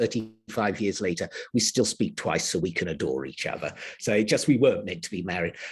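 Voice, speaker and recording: Speaking with an English accent, a man swings through a very wide range of pitch. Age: 70s. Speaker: healer. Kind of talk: interview. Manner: halting.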